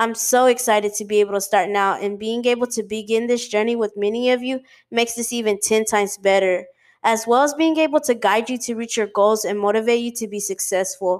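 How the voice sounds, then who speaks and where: Talking at a fairly quick pace, a woman has a normal speaking voice, fairly high in pitch with fairly even intonation, on a very clean recording with a silent background. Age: 20s. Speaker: podcast host. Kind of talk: motivational monologue.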